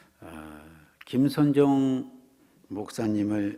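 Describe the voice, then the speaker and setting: Lively intonation from a man with a dark, mellow tone, at a very slow pace, with audible room echo. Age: 60s. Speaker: guest preacher. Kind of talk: sermon. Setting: church.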